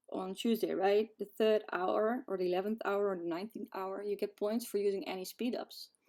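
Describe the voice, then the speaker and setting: A woman with a non-native accent speaks at medium pitch and a moderate pace. Her dark, mellow tone carries ordinary pitch variation. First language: not English. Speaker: gaming video creator. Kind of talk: tutorial. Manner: casual, hesitant with fillers.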